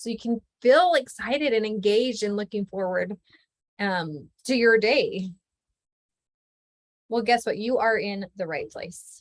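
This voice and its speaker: In a dry, close recording with no echo, a woman speaks fairly slowly with an animated tone, fairly high pitch, lively intonation and long, frequent pauses. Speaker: life coach. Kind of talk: online workshop presentation.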